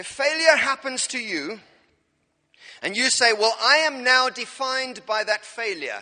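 A man with an extremely high pitch speaks in a raised, projected voice at a moderate pace, his tone animated. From South Africa, Cape Town. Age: 40s. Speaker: pastor. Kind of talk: sermon. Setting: church. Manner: humorous.

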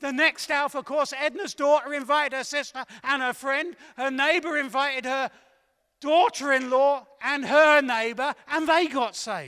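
At a moderate pace, a man speaks in a raised, projected voice that is extremely high in pitch, with an animated, bright, sharp tone. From southern England. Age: 60s. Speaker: evangelist. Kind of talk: sermon. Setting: church.

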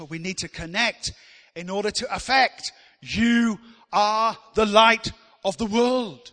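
A man with a high pitch projects a raised voice, bright and sharp in tone, animated and lively in his intonation. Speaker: preacher. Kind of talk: sermon. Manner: animated, call-and-response, rallying the congregation; emphatic, repeating key phrases.

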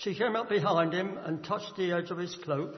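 A man with a high voice keeps a moderate pace and fairly even intonation while noticeable background noise plays underneath. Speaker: scripture reader. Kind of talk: reading aloud. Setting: church.

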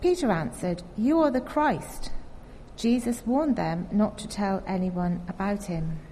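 A woman of medium pitch speaks at a fairly slow pace, somewhat breathy and with a dark, mellow tone. Her pitch swings very widely. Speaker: scripture reader. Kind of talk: reading aloud. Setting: church.

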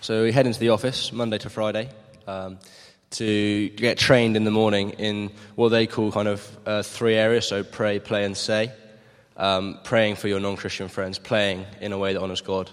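In a southern English accent, a man with a fairly low pitch speaks at a moderate pace with monotone, flat intonation. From Maidenhead, southern England. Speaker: gap year volunteer. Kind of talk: interview. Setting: church.

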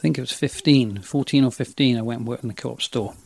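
This man speaks at a medium pitch with a West Country accent and ordinary pitch variation. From Somerset, England (Frome area). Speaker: retail area manager and youth leader. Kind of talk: casual interview.

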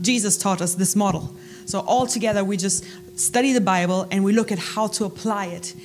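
A woman speaks with a German accent at a fairly quick pace and with fairly even intonation. Audible room echo and noticeable background noise surround her voice. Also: medium pitch for a woman. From Germany. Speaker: Bible college staff. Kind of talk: church talk. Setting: church.

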